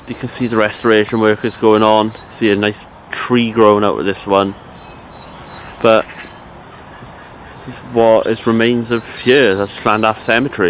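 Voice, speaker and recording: Over noticeable background noise, a man with a Cardiff accent speaks at a moderate pace and medium pitch, his intonation monotone and flat, with long, frequent pauses. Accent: Welsh (Cardiff). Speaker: history explorer vlogger. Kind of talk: walking vlog narration. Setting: outdoors in graveyard, then inside cathedral.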